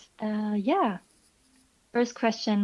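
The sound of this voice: Keeping a moderate pace, a woman delivers her words with fairly even intonation. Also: slightly mellow tone.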